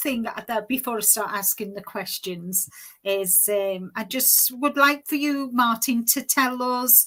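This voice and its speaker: A woman with a slight Liverpool accent speaks very slowly at a fairly high pitch and with ordinary pitch variation. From Liverpool, England (early years in Far East). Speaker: knitting podcaster. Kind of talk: casual livestream interview.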